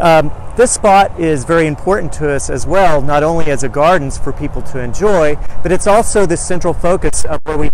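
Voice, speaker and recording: A man speaks at a moderate pace with ordinary pitch variation, his voice dry with no echo over light background noise. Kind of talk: guided tour commentary. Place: garden. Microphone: lapel.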